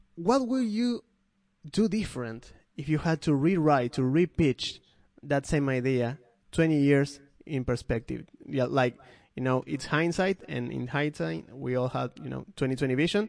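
Over a quiet background, a man with a Spanish accent talks at a fairly slow pace in a fairly high voice with lively intonation. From Argentina. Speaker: podcast host. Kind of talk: casual chat.

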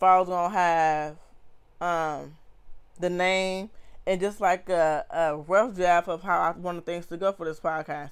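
In a very clean recording with a silent background, a woman with a plain, everyday voice speaks at a fairly slow pace and a fairly low pitch. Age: 20s. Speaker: podcast host. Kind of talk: casual monologue. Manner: conversational.

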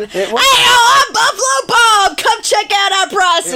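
This put-on character voice sits at an extremely high pitch. It moves at a fairly slow pace over clear background noise. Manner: cheesy, pushy, upbeat.

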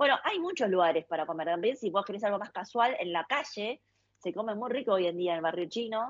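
A woman with medium pitch and lively intonation, at a fairly quick pace. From China, then Argentina from age nine. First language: Chinese (speaking Spanish). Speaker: cook and food influencer. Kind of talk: casual interview.

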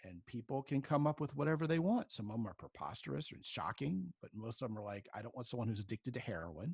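At a very fast pace, a man speaks somewhat breathily at medium pitch, with very wide pitch swings and big swings in loudness, in a dry, close sound with no echo. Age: 50s. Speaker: relationship coach. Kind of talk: interview.

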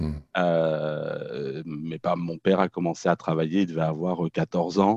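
This man has a very deep, low pitch and a dark, mellow tone, with a Norman accent. The sound is dry and close with no echo, over a quiet background. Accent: French, Norman rather than banlieue. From France, Normandy (Caen). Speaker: therapist and social educator. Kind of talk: casual interview.

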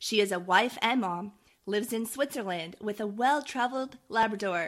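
This is an unremarkable speaking voice from a woman, fairly high in pitch with ordinary pitch variation. She keeps a moderate pace against a quiet background. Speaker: podcast host. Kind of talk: interview.

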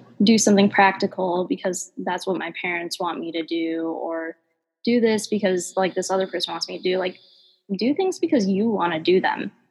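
Her pace is moderate and her pitch is medium. This woman has a normal speaking voice. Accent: American. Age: 20s. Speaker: ice cream business founder. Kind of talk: casual interview.

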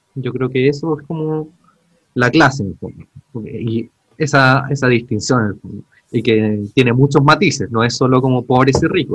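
At a moderate pace, a man with a Chilean accent talks at a medium pitch with ordinary pitch variation. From Chile, Santiago (Pudahuel). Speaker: podcast co-host, archaeologist. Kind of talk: casual chat.

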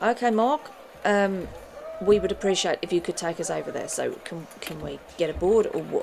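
Noticeable background noise surrounds a woman talking at a moderate tempo. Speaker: tabletop game player. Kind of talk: casual in-character roleplay and chat.

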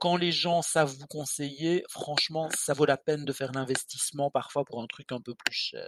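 This man has an unremarkable speaking voice, fairly high in pitch with ordinary pitch variation. He goes at a fairly slow pace, and the sound is dry and close with no echo. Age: 50s. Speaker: skincare blogger, podcast co-host. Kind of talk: casual chat.

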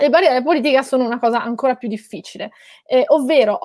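In a very clean recording with a silent background, the sound is dry and close with no echo. A woman talks at a very fast pace with ordinary pitch variation. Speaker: journalist and author, former city councillor. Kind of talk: panel discussion.

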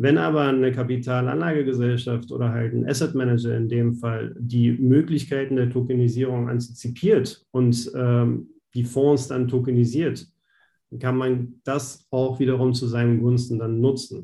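At a moderate pace, a man talks in a dark, mellow, somewhat breathy tone at medium pitch, his intonation fairly even. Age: 30s. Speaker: banking innovation specialist. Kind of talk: interview.

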